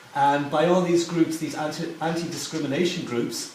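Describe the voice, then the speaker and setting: Noticeable background noise and audible room echo surround a man whose pitch is fairly high. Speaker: audience member asking a question. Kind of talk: Q&A question at a talk. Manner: halting.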